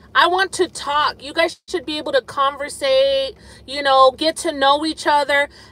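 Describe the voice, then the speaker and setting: A raised, projected voice at a moderate pace. The sound is dry, with no echo. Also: woman. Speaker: live streamer. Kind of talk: casual live stream chat. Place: car. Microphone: phone near.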